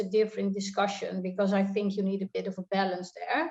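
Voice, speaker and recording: A woman speaks in a Dutch accent at medium pitch and a moderate pace. Her tone is dark and mellow. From Netherlands. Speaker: tax consultant. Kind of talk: panel discussion. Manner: halting.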